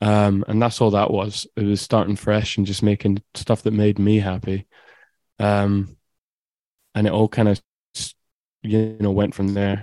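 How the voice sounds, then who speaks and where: A man with an Edinburgh accent speaks in a fairly low pitch and a dark, mellow tone, his monotone, flat delivery broken by long, frequent pauses, all in a dry, close sound with no echo. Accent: Scottish (Edinburgh). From Scotland, Edinburgh. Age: 20s. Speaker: electronic music producer. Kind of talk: casual interview. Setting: video call.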